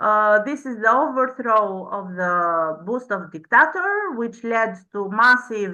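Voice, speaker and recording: A woman's fairly high, bright, sharp voice at a very slow pace, with ordinary pitch variation and audible room echo. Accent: Albanian. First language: Albanian. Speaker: PhD researcher. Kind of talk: conference presentation. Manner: halting, many fillers.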